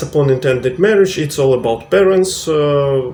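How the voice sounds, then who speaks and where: A man speaks at a fairly slow pace with a Russian accent and a fairly high pitch. His pitch varies in an ordinary way, and there is noticeable background noise. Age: 30s. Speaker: vlogger. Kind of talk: tutorial. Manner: halting, many fillers.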